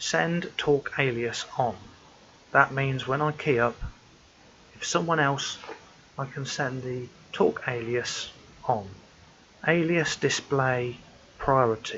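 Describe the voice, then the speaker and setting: With a British accent, the soft-spoken speaker goes at a very slow pace, leaving long, frequent pauses, with ordinary pitch variation. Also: man, medium pitch for a man. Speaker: amateur radio hobbyist. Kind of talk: tutorial. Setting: at home.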